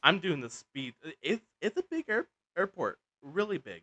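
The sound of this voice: A man's fairly high voice, bright and sharp in tone, at a moderate pace, with a dry, close sound and no echo.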